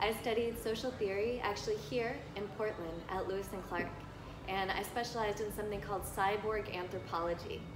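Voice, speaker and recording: A woman with a fairly high pitch speaks in fairly even intonation, with noticeable background noise and audible room echo. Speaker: lecturer and counselor. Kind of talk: lecture. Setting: live talk before an audience. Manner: casual, with filler words.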